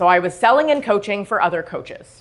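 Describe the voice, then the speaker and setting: Animated in tone, a woman of medium pitch speaks with a Canadian accent against a quiet background. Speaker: self-sabotage coach. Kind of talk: motivational talk. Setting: stage with audience. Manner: loud.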